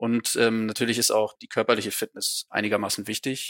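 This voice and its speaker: A man speaks with a bright, sharp tone at a fairly quick pace. The recording is very clean, with a silent background. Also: dry, close sound with no echo. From Schleswig-Holstein, northern Germany (small town). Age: 20s. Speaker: police officer and police student. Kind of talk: interview.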